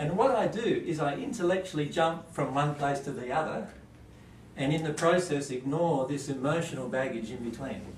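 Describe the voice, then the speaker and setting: Audible room echo and light background noise accompany speech at a moderate pace with ordinary pitch variation. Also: man. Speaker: presenter. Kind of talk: lecture. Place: classroom. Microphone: camera far.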